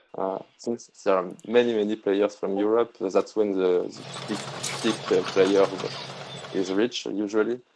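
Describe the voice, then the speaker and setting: A man speaks with a strong French accent at a fairly low pitch, his intonation monotone and flat. His pace is fairly slow, broken by long, frequent pauses. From France. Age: 30s. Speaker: online card game player. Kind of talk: casual chat during gameplay. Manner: halting, many hesitations.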